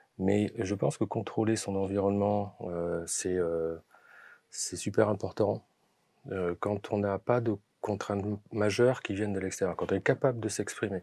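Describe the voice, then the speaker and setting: Slow-paced and with long, frequent pauses, a man speaks with a fairly low pitch and a dark, mellow tone. His intonation is fairly even, and the sound is dry and close with no echo. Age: 60s. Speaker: film producer, former finance engineer. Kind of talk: interview. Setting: podcast studio. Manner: halting, many fillers and repetitions.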